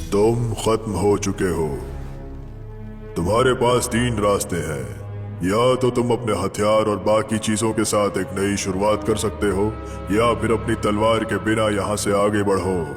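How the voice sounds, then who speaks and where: Over clear background music, a man puts on a character voice at a fairly low pitch and a moderate pace. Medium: fan dub. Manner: cold, taunting.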